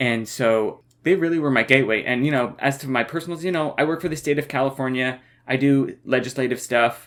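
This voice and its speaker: An unremarkable speaking voice at a moderate pace, with ordinary pitch variation, comes through on a very clean recording with a silent background. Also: man. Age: 30s. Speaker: podcast co-host. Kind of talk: casual chat.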